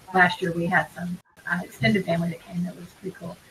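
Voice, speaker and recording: Noticeable background noise accompanies a woman's fairly low voice. She speaks at a fairly quick pace. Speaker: couponing video co-host. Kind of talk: casual live-stream chat. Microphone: mic picks up echo if loud.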